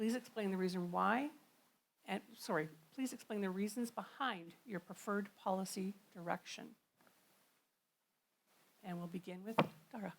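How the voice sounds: With vocal fry and ordinary pitch variation, a woman talks at a moderate pace, leaving long, frequent pauses. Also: medium pitch for a woman.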